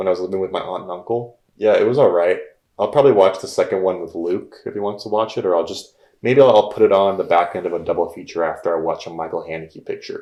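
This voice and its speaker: Mumbling, a man talks at a very fast pace. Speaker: film podcast co-host. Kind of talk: casual chat.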